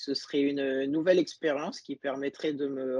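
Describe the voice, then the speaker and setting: A man's dark, mellow voice sits fairly high in pitch, keeping fairly even intonation at a moderate pace in a dry, close sound with no echo. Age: 20s. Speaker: pastry chef. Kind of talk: interview. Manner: halting.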